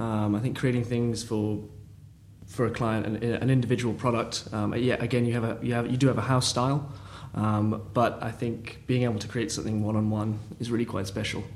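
A man talks at a fairly quick pace with monotone, flat intonation. Room echo can be heard. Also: medium pitch for a man. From London. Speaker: family business employee. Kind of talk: interview conversation. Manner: hesitant.

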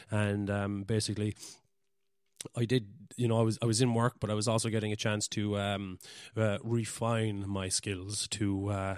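Recorded very cleanly against a silent background, a man speaks at a fairly low pitch with a Cork accent. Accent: Cork Irish. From Ireland, West Cork. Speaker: podcaster and amateur photographer. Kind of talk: casual solo monologue. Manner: halting, many fillers.

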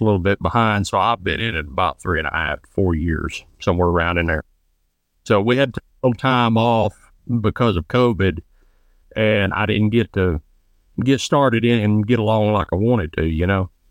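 A man with a Southern US accent speaks at a moderate pace in a fairly low pitch. His pitch variation is ordinary, with big swings in loudness. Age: 20s. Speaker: trapshooter and chiropractic student. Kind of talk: casual interview.

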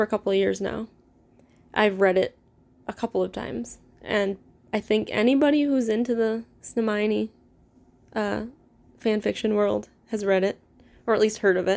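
A woman's fairly high voice with a Midwestern American accent, fairly even intonation, a moderate pace and long, frequent pauses. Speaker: podcast host, fanfiction reader. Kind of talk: casual introduction monologue. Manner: casual, filler-heavy. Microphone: poor recording equipment.

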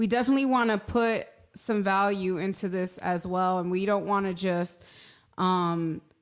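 With a New York accent, a woman speaks at a medium pitch and fairly even intonation in a very clean recording with a silent background. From New York City, Manhattan. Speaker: podcast co-host. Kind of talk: casual chat.

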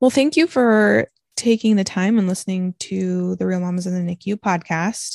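A woman talks in an ordinary speaking voice at medium pitch and a moderate pace, with ordinary pitch variation. The sound is dry and close with no echo. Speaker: podcast host, NICU parent. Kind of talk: casual chat podcast. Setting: home recording, kids show playing in background.

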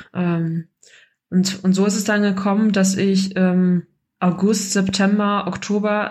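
A somewhat breathy, medium-pitched female voice, monotone and flat, on a very clean recording with a silent background. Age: 30s. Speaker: course graduate sharing success story. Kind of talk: personal testimony.

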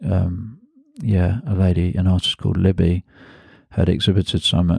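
A man with a London accent speaks in a very deep, low voice with a dark, mellow tone and fairly even intonation. The recording is very clean with a silent background and a dry, close sound with no echo. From London, England (Hackney). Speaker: artist and photographer. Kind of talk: interview conversation. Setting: host's home. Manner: hesitant with many fillers.

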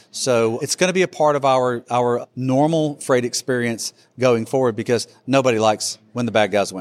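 An unremarkable speaking voice, a man with an American accent talks at a moderate pace and medium pitch with ordinary pitch variation and hardly any pauses, in a dry, close sound with no echo. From Alabama, US South. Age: 50s. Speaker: freight technology executive. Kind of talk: casual interview.

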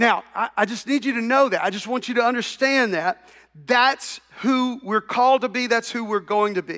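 With a bright, sharp tone, a man projects his extremely high-pitched voice at a moderate pace and with fairly even intonation. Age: 60s. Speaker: pastor. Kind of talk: sermon.

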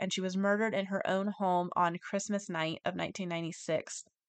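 Over a quiet background, a woman talks at a fairly quick pace in a medium pitch with ordinary pitch variation. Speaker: true crime podcast host. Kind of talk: solo podcast monologue about news updates. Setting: home recording, cat nearby. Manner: casual, chatty, conversational.

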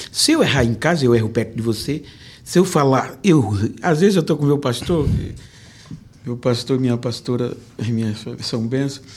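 A man talks at a moderate pace and medium pitch, with ordinary pitch variation. His long, frequent pauses sit in audible room echo. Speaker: pastor and preacher. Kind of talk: testimony interview. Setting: church.

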